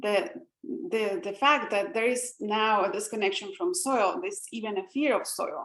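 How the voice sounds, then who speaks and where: A woman's moderately paced speech with very wide pitch swings. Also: fairly high pitch for a woman. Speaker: presenter of a community science project. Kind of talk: online call presentation. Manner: halting, many fillers and repetitions.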